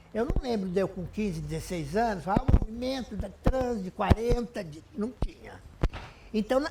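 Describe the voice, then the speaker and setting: There is noticeable noise in the background as a woman talks. Her pitch sits in the medium range and her intonation is lively. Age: 60s. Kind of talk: testimony.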